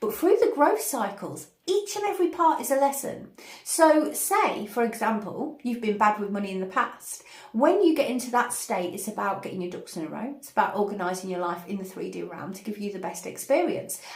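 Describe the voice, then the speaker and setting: A woman talks at a fairly quick pace with lively intonation. Her pitch is fairly high, and there is noticeable background noise. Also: big swings in loudness. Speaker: spiritual channel host, meditation teacher. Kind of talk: spiritual guidance talk to camera. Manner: energetic, hyperactive.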